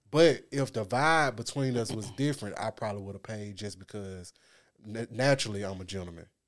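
A man speaks in a normal speaking voice, fairly low in pitch with ordinary pitch variation. His pace is fairly quick, and his loudness swings widely. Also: very clean recording, silent background. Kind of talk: casual chat.

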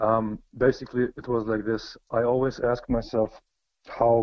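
A man speaks with a Croatian accent. His pitch is medium. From Germany, early childhood in Bosnia. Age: 20s. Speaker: philosophy enthusiast, former war refugee. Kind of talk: casual interview. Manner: halting, many fillers and restarts.

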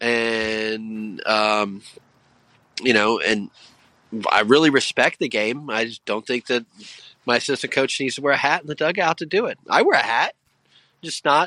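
A man's medium-pitched voice with an American accent and a bright, sharp tone, at a moderate pace with ordinary pitch variation and long, frequent pauses, in a dry, close sound with no echo over a quiet background. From Indiana. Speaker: college baseball head coach. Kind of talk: casual chat. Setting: outdoors.

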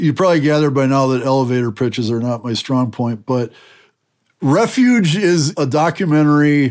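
On a very clean recording with a silent background, a man with an American accent and a medium pitch talks at a moderate pace in a plain, everyday voice. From Wisconsin, US Midwest. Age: 50s. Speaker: former extremist turned peace advocate. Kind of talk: interview.

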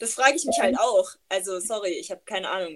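Here is a woman in an ordinary speaking voice. She talks at a fairly quick pace. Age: 20s. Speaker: podcast host. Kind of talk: casual chat. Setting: video call.

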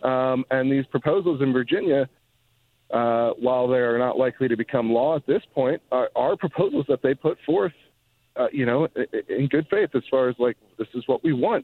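At a moderate pace, a man with a medium-pitched, ordinary speaking voice talks with ordinary pitch variation. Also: very even loudness. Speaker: gun policy journalist. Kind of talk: interview. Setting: phone call.

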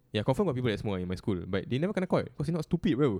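With a Singaporean accent, a man speaks at a very fast pace. His tone is dark and mellow, with very wide pitch swings. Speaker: podcast co-host. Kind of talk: casual chat.

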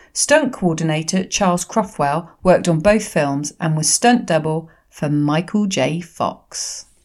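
Her voice somewhat breathy, a woman speaks with lively intonation. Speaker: podcast host. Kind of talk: casual chat. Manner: animated.

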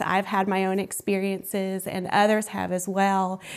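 She is a woman speaking with an American accent. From US South, Columbus, Georgia. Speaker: arts community founder and spiritual coach. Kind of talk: interview.

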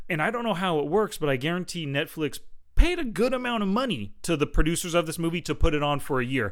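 In a very clean recording with a silent background, a man talks very fast in a high voice with very wide pitch swings. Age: 40s. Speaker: movie podcast co-host. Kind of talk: casual chat. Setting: studio.

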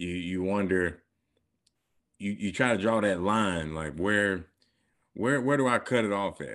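Against a quiet background, a man with a fairly low pitch and ordinary pitch variation speaks with long, frequent pauses. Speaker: podcast co-host. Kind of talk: casual chat.

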